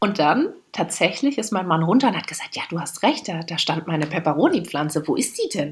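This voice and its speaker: A woman speaks at a fairly quick pace with lively intonation. Her voice is somewhat breathy. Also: fairly low pitch for a woman. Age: 30s. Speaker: podcast co-host. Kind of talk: casual chat.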